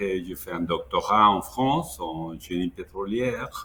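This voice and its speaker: Fairly low in pitch, a man talks with a Mexican accent. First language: Spanish (speaking French). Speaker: education consultant, former minister. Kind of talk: webinar interview. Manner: halting.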